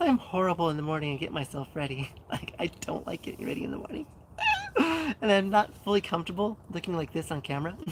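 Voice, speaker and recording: Over noticeable background noise, a woman talks very fast. Her fairly low voice carries lively intonation. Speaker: fitness and lifestyle streamer. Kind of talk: live stream chat with viewers. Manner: filler-heavy, many ums.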